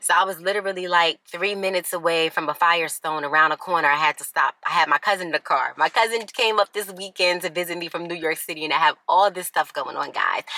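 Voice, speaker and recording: Very fast and fairly low-pitched, a woman talks with fairly even intonation in a dry, close recording with no echo. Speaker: lifestyle vlogger. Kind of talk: casual vlog. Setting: outdoors in a parking lot.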